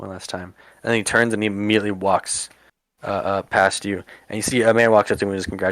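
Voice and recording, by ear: Over a quiet background, the intonation stays fairly even as someone is reading aloud in a natural voice.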